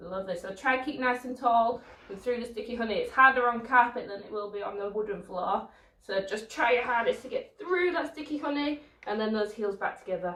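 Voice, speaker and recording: Over noticeable background noise, a woman talks with ordinary pitch variation and big swings in loudness. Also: fairly high pitch for a woman, fairly quick pace. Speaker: dance teacher. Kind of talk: online children's ballet class. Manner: encouraging, instructive; quiet to avoid waking neighbours.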